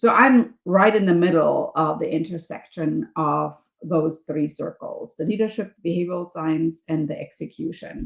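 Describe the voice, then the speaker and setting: Speaking with a German accent, a woman uses a fairly low pitch. She keeps a moderate pace with ordinary pitch variation. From Germany. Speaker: professor and leadership coach. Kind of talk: podcast interview.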